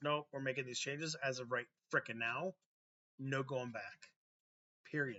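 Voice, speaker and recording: In a raspy, put-on character voice, a man speaks at medium pitch and a moderate pace, with fairly even intonation and long, frequent pauses. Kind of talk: casual, blunt. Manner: snapping, firm, decisive.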